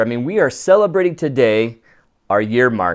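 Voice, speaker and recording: A man's voice at a fairly quick pace, with very wide pitch swings, on a very clean recording with a silent background. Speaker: photography podcast host. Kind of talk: live-streamed casual podcast chat. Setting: home recording at co-host's house, live stream. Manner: loud.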